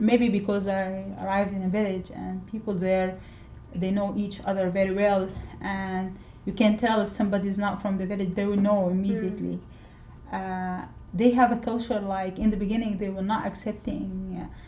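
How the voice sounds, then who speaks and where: Her pitch at a medium level, a woman speaks with monotone, flat intonation. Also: moderate pace. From Sudan. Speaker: interviewee, immigrant living in Scotland. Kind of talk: interview answer.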